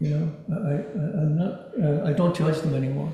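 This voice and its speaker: A soft-spoken man with a fairly high pitch and fairly even intonation, over noticeable background noise. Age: 60s. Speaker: dharma talk speaker. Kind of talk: dharma talk. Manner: halting, repeats words.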